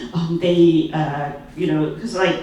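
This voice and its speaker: Over noticeable background noise and audible room echo, a woman speaks at a fairly low pitch with a Cantonese accent. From Hong Kong. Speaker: conference speaker. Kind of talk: conference talk. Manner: halting, many fillers.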